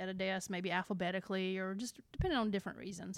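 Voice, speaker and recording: A woman in an Alabama accent, medium-pitched, at a very fast pace, on a very clean recording with a silent background. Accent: Alabama Southern. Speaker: middle school science teacher. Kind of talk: casual interview chat. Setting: school.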